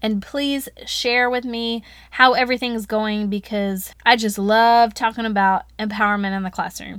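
A woman talks in a Southern US accent, her tone animated, bright and sharp. The recording is very clean, with a silent background. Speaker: educator podcast host, former teacher. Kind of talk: solo podcast monologue. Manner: fast.

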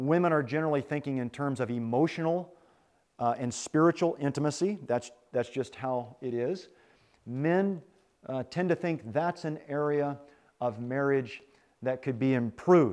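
With a normal speaking voice, a man talks at a moderate pace and fairly high pitch, using ordinary pitch variation. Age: 40s. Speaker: retreat speaker on marriage. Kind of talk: sermon-style talk.

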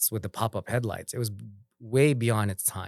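Ordinary pitch variation runs through a normal speaking voice in a very clean recording with a silent background. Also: man. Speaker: business owner. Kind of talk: casual chat.

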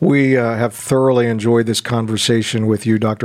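Speaking at a moderate pace in a plain, everyday voice, a man keeps a medium pitch and fairly even intonation. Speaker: podcast host and university president. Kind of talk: interview.

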